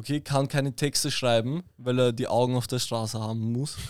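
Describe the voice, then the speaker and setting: The recording is very clean, with a silent background. A man speaks at medium pitch and a moderate pace. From Vienna, Austria. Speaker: artist manager. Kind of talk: casual chat.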